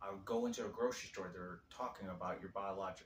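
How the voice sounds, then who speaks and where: The delivery is very fast and somewhat breathy. Intonation stays fairly even. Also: man. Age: 40s. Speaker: video diarist. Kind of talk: personal testimony to camera. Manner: halting.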